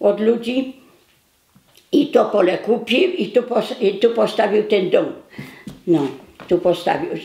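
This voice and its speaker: A woman's fairly high voice at a very slow pace. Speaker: war witness. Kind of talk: documentary interview answer.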